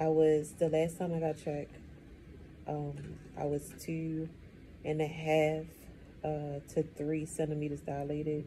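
A somewhat breathy voice with a dark, mellow tone moves at a fairly slow pace. Light background noise sits behind it. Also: woman. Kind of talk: casual vlog chat. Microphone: phone near.

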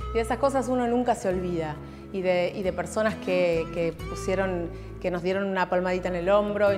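With clear music in the background, a woman speaks at a fairly quick pace and with fairly even intonation. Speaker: radio announcer. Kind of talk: interview answer. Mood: warm, nostalgic, grateful. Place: hall. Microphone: lapel.

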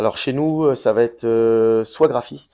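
Over a quiet background, the voice has a dark, mellow tone and ordinary pitch variation. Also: man. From France, Dreux area; France. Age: 30s. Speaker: business owner; interviewee. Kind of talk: interview. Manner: hesitant, many fillers.

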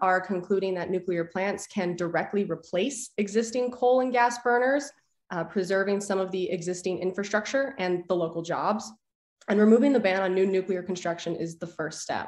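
A woman at a fairly quick pace with an American accent, medium pitch, ordinary pitch variation and audible room echo. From northern Illinois, Lake County; Illinois. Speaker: nuclear engineering PhD student; witness. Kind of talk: prepared public testimony. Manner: formal. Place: home room. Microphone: video call.

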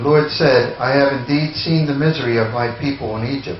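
Amid audible room echo and light background noise, a man speaks at a moderate pace with fairly even intonation. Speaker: scripture reader. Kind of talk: reading aloud. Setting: church. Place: church.

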